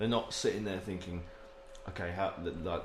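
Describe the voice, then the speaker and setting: Noticeable background noise sits behind a man with an English accent whose fairly low voice shows ordinary pitch variation. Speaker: podcast co-host. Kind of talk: casual banter. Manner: joking, playful.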